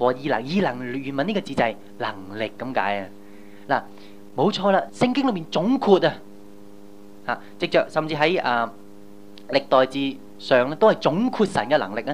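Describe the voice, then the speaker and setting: Speaking at a moderate pace, a man with a fairly high pitch makes very wide pitch swings and leaves long, frequent pauses. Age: young. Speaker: pastor. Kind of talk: sermon. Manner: animated.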